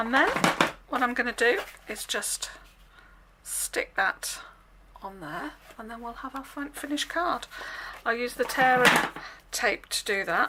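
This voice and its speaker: With an English accent, the speaker moves at a fairly slow pace, with lively intonation and long, frequent pauses. Noticeable background noise runs underneath. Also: woman, high pitch for a woman, big swings in loudness. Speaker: craft demonstrator. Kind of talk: tutorial. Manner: casual.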